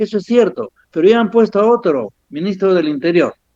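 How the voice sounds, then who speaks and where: A man speaks at a moderate pace with lively intonation. The sound is dry and close, with no echo. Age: 70s. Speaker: physician lecturer. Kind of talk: lecture. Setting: at home.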